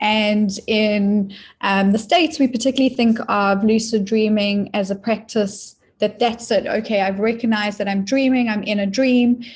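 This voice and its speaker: A woman with a South African accent speaks at a moderate pace in a fairly high, somewhat breathy voice. Her intonation is fairly even, her loudness very even, and the recording very clean with a silent background. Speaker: dream teacher and author. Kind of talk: interview.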